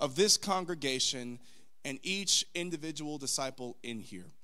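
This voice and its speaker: Against a quiet background, a man talks at a moderate pace in a raised, projected voice. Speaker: preacher. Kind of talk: sermon. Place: church. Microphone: podium.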